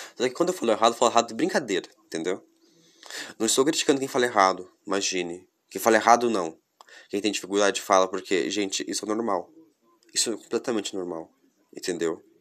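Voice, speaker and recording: A very fast pace broken by long, frequent pauses, with ordinary pitch variation. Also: man, fairly low pitch for a man. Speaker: podcast host. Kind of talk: casual solo monologue.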